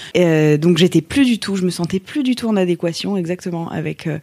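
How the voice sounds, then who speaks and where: At a moderate pace, a woman speaks in a fairly low pitch with a dark, mellow tone, on a very clean recording with a silent background. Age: 30s. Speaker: yoga teacher. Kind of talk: interview testimony. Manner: hesitant, many fillers and repeated words.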